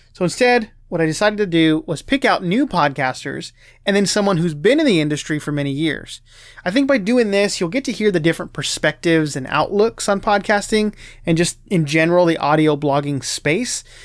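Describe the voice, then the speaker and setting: On a very clean recording with a silent background, a high-pitched man talks at a fairly quick pace with lively intonation. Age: 20s. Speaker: podcast host. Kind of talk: scripted intro; casual interview chat.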